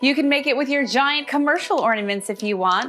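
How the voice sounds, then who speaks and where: At a fairly quick pace, the speaker uses a raised, projected voice with an animated tone and lively intonation over noticeable background noise. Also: woman. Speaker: holiday decor presenter. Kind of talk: tutorial.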